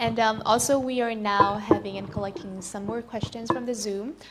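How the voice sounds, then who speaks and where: This woman's voice is fairly high with ordinary pitch movement, and noticeable background noise runs beneath it. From Vietnam. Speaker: webinar host. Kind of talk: webinar moderating.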